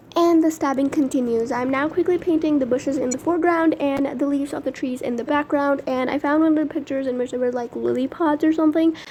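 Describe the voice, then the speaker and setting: Over noticeable background noise, a woman talks very fast in a high pitch, with fairly even intonation and hardly any pauses. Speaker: art YouTuber. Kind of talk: voiceover narration of painting process. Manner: casual, chatty.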